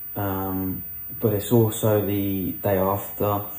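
Somewhat breathy, a man speaks with a dark, mellow tone and fairly low pitch. Audible room echo surrounds his voice. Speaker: cancer patient. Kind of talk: video diary.

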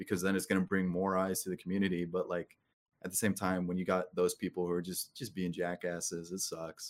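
Speaking at a fairly quick pace, a man uses a very deep, low pitch and a monotone, flat intonation. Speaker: gaming content creator. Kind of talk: casual chat.

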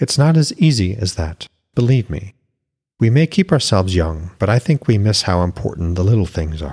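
A man puts on a character voice, low-pitched with a slightly husky edge and a slightly mellow tone. His intonation is lively. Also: moderate pace.

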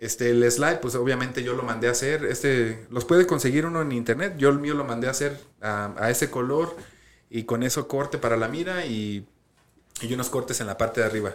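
Speech comes fairly quickly, and the pitch varies in an ordinary way. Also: man, medium pitch for a man. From US, Colorado. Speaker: podcast co-host. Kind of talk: casual chat. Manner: halting.

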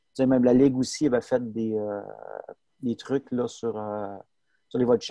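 At a moderate pace, a man talks in a medium pitch with a dark, mellow tone and fairly even intonation, the sound dry and close with no echo. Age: 40s. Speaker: sports photographer. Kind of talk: interview.

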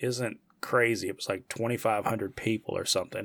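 On a very clean recording with a silent background, a man with an American accent talks at a moderate pace in a monotone, flat intonation. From United States. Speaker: podcast host. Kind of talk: casual chat.

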